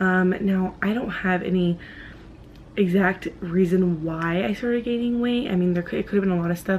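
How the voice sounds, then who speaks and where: A woman speaks soft-spoken and somewhat breathy. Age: 20s. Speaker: vlogger. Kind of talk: personal vlog. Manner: soft-spoken, quiet; hesitant, many fillers.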